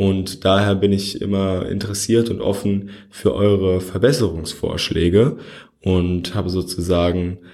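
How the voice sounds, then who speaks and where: Fairly slowly, a man talks in a very deep, low pitch with a dark, mellow tone. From Germany, Frankfurt. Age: 20s. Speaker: podcast host. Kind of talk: solo podcast monologue. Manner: casual, with frequent fillers.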